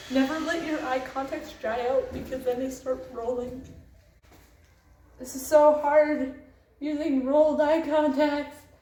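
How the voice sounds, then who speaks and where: A woman at high pitch and fairly slow pace, long, frequent pauses, fairly even intonation, big swings in loudness and audible room echo. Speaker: cosplayer vlogger. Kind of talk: casual vlog. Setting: public bathroom.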